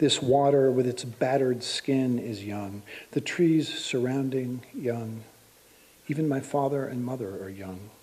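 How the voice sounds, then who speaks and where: This man has an unremarkable speaking voice at a medium pitch. He talks with an American accent. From Pittsburgh, Pennsylvania. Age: 60s. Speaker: poet. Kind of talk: poetry reading.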